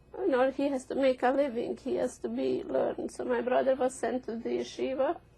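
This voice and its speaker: Over a layer of noticeable background noise, the talking goes at a fairly quick pace. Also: woman. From Hungarian-ruled region near Polish border, Eastern Europe. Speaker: Holocaust survivor. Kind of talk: oral history interview.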